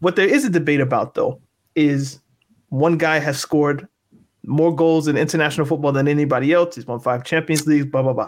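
With an unremarkable speaking voice, a man talks at a fairly quick pace and fairly high pitch, his intonation fairly even. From Canada, Halifax. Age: 30s. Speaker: podcast host. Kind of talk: casual chat.

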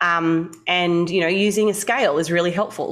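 Using a plain, everyday voice, a woman speaks at a moderate pace with a fairly low pitch and fairly even intonation. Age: 30s. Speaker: dietitian and bodybuilder. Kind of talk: interview.

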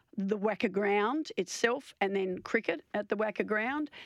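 Over a quiet background, a woman of medium pitch speaks at a moderate pace with an Australian accent. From eastern Australia (born Victoria, played in New South Wales). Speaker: outgoing cricket association chief executive, former test cricketer. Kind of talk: radio interview. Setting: radio studio. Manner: halting, many fillers and repetitions.

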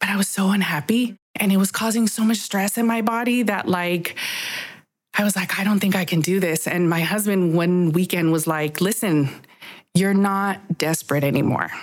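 A woman talks at a moderate pace in a plain, everyday voice, with medium pitch and ordinary pitch variation. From Los Angeles, working-class areas. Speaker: personal trainer, former entertainment reporter. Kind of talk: interview.

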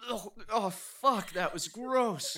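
A man's put-on character voice, high-pitched, bright and sharp, with lively intonation and a slow pace

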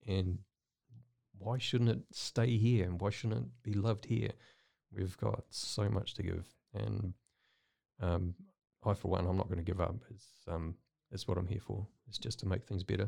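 On a very clean recording with a silent background, a man with a New Zealand accent speaks at a moderate pace in a very deep, low voice with vocal fry, ordinary pitch variation and long, frequent pauses. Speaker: artist. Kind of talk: casual interview chat. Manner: halting, filler-heavy.

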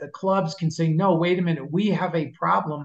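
A man with a New York accent, high pitch, ordinary pitch variation and moderate pace. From Long Island, New York. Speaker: NFL rules analyst, former officiating executive. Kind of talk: interview. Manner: halting with repetitions.

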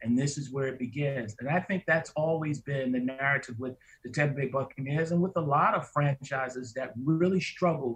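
A man with a New York accent speaks in a fairly high voice with fairly even intonation. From New York City (Harlem, the Bronx). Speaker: sports radio host. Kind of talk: casual chat.

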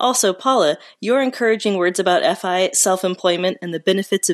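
With an unremarkable speaking voice, a woman talks at a medium pitch and fairly quick pace, with ordinary pitch variation and a quiet background. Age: 30s. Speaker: caller. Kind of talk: personal testimony.

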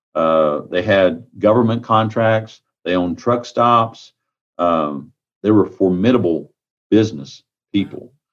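A man talks with a Texan accent. His pitch is fairly low. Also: ordinary pitch variation. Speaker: county sheriff. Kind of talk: interview.

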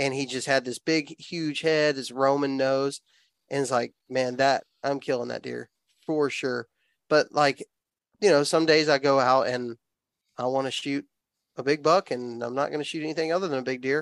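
A man's fairly high voice in a Southern US accent, fairly even in intonation, with long, frequent pauses and a dry, close sound with no echo. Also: moderate pace. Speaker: outdoor YouTuber and hunter. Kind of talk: casual chat.

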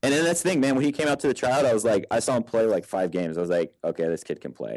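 Very fast speech with very wide pitch swings, in an American accent, against a quiet background. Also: man. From Texas. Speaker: paintball player and coach. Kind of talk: casual interview chat.

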